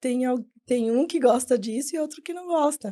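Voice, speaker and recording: Her voice has a dark, mellow tone. The woman speaks at a high pitch that varies in an ordinary way. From Brazil, São Paulo state (Jandira). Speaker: architect. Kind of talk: podcast interview. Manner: fast.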